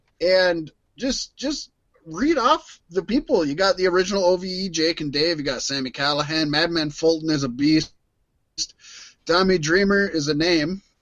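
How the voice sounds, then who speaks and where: His pitch high with ordinary variation, a man speaks. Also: moderate pace. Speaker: wrestling podcast host. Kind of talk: casual chat.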